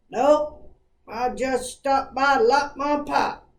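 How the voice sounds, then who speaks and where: A woman puts on a character voice pitched high. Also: fairly slow pace. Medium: solo performance. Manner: laconic, folksy.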